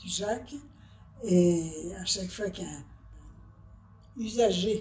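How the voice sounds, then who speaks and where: A woman speaks at a very slow pace in a medium pitch with ordinary pitch variation. Noticeable background noise and audible room echo are present. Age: 80s+. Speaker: retired telephone operator. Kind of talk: interview, personal recollection. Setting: nursing home workshop. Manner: halting.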